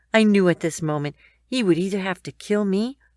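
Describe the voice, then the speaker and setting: A woman with an ordinary speaking voice talks at a moderate pace, her pitch fairly low and ordinary in its variation. The recording is very clean with a silent background and a dry, close sound with no echo. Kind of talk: emotional first-person story narration.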